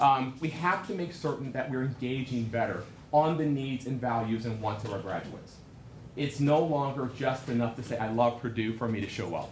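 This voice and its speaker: Speaking at a fairly quick pace, a man with a medium pitch and ordinary variation comes through over noticeable background noise and audible room echo. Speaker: alumni association executive. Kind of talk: conference keynote address. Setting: stage with audience. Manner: loud.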